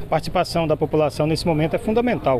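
A man rattles along at a very fast pace. Background music can be heard. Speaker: TV reporter. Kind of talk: field news report and interview. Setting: outdoors on location. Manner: stammering in questions.

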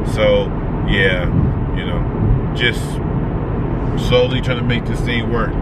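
A man's voice with a dry sound and no echo, over loud background noise. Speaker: vlogger on road trip. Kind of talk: casual vlog chat. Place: car. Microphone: phone near.

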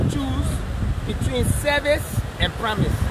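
A man's voice over loud background noise. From Liberia. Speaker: official giving a site tour. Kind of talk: on-site interview. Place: waterside. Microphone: phone near.

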